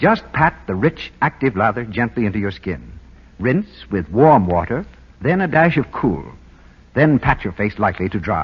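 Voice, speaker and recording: This man speaks with a fairly low pitch and vocal fry, and his pitch swings very widely. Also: moderate pace. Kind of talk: vintage radio commercial host banter. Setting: archival old-time radio broadcast recording.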